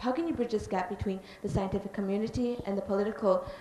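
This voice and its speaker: Fairly high in pitch with ordinary variation, a woman's voice comes through noticeable background noise. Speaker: audience member asking a question. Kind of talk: audience Q&A question.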